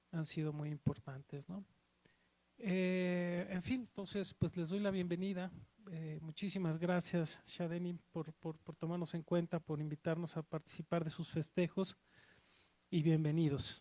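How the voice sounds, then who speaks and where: A man with a Mexico City accent, high pitch, dark, mellow tone and fairly even intonation, at a fairly slow pace, in a dry, close sound with no echo. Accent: Mexico City (chilango). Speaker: cultural institution director welcoming audience. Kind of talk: welcome speech. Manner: halting, many fillers.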